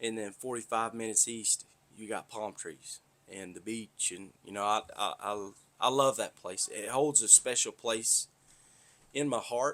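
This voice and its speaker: This man's voice sits at a medium pitch and has a bright, sharp tone. He talks at a fairly slow pace with fairly even intonation and big swings in loudness. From US South, north Florida (Tallahassee area). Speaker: podcaster, pipeline worker. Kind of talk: casual monologue.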